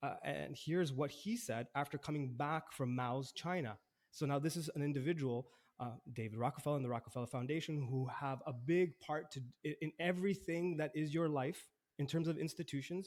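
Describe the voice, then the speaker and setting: Using a normal speaking voice, a man talks at a fairly quick pace with fairly high pitch and ordinary pitch variation. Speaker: podcast host. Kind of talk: casual chat.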